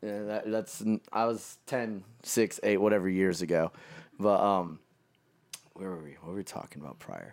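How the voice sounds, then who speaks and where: On a very clean recording with a silent background, a man with a Californian accent speaks at a moderate pace with a fairly low pitch and ordinary pitch variation. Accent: Californian American. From California, Modesto. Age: 20s. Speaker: fashion designer. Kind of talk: casual chat.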